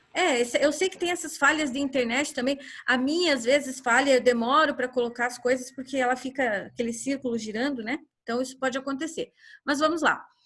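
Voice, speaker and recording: Speaking at a fairly quick pace, a woman with a high pitch uses ordinary pitch variation over a quiet background. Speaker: school teacher. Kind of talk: online class lecture.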